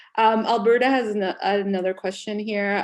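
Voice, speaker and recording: A woman speaks with a Spanish accent. Her pitch is medium, with ordinary variation. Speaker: panel moderator. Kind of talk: online panel discussion.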